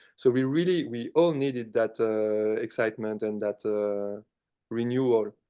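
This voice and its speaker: A man with a French accent talks at a moderate pace in a dark, mellow tone. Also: medium pitch for a man, ordinary pitch variation. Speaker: rock band musician. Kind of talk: interview.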